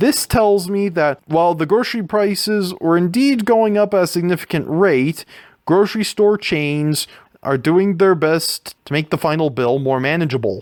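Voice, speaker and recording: With lively intonation and a high voice, a man speaks at a fairly slow pace. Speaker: university student. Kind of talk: class presentation narration. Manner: stuttering, with edited audio.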